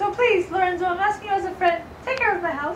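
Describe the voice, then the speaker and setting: Squeaky and very fast, a put-on character voice comes through with slight echo and clear background noise. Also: woman, extremely high pitch for a woman. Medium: stage play. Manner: earnest, casual modern phrasing.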